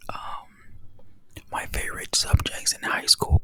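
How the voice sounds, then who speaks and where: The speaker whispers at a fairly slow pace. Background noise is noticeable. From Texas. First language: Spanish. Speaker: ASMR creator. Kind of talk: casual chat. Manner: soft-spoken.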